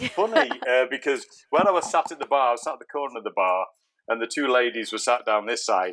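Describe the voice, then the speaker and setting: A man with an English accent talks very fast. His intonation is lively. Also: medium pitch for a man. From England. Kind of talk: interview answer.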